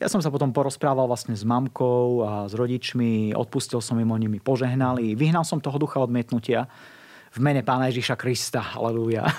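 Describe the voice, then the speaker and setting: A man's unremarkable speaking voice at a medium pitch, with fairly even intonation and a fairly quick pace. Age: 40s. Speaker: evangelist. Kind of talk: interview testimony. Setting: studio.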